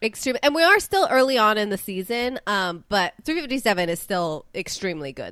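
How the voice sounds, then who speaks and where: Her pitch rising and falling very widely, a woman talks at a moderate pace. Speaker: baseball podcast host, actor. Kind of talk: casual chat. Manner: enthusiastic, energetic.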